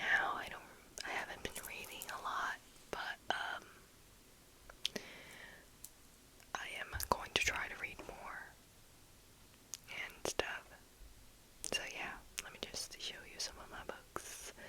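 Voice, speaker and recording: Very slowly and with long, frequent pauses, a whisper comes through noticeable background noise. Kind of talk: casual talk to camera, book show-and-tell. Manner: soft, casual, chatty.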